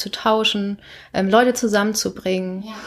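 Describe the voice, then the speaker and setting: The speaker is a woman with an unremarkable speaking voice. She talks at a moderate pace and medium pitch. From northern Germany, Lüneburger Heide. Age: 20s. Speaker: company founder. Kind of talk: interview.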